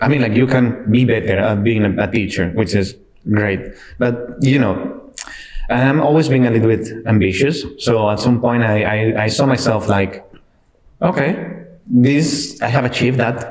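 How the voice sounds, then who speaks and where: With audible room echo, a man speaks at a moderate pace and medium pitch, somewhat breathy, with ordinary pitch variation and very even loudness. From Spain, Cartagena (southeast). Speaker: IT delivery manager, former music teacher. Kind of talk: podcast interview. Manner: halting.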